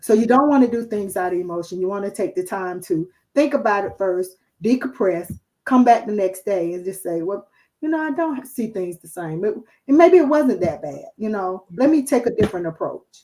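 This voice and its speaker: With a Southern accent and a dark, mellow tone, a woman talks at a moderate pace, her pitch swinging very widely. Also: medium pitch for a woman. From New Jersey. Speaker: guest speaker. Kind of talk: live stream chat. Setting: live video stream away from home.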